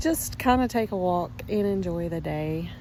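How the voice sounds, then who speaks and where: Speaking in a Southern US accent, a woman goes at a very slow pace. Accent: Southern hillbilly American. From North Carolina. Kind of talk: casual, rambling vlog. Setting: outdoors, walking.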